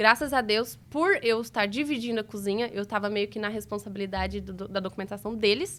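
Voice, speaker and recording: At a fairly quick pace with hardly any pauses, a woman speaks in an ordinary speaking voice at a fairly high pitch. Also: fairly even intonation. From interior of Minas Gerais, Brazil. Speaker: restaurant entrepreneur. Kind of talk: interview answer.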